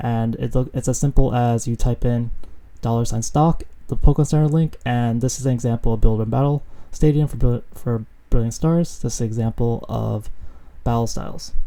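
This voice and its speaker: Mumbling at a fairly quick pace, a man with a medium-pitched voice and a dark, mellow tone keeps his intonation fairly even. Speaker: Pokemon card market YouTuber. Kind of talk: casual video commentary. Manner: hesitant, many fillers.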